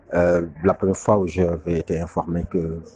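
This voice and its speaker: A very deep, low male voice in monotone, flat intonation at a fairly slow pace, with noticeable background noise. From Senegal. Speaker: father giving testimony. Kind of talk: testimony.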